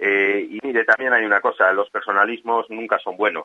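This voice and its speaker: A man speaking at a fairly quick pace. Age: 50s. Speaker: local politician. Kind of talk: radio interview.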